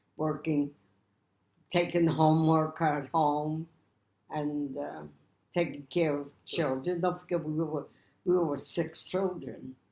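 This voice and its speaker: A woman with a New York accent, her very deep, low voice dark and mellow in tone, monotone and flat, at a very slow pace with long, frequent pauses. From New York City, Lower East Side. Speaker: Depression-era survivor. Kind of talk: interview answer.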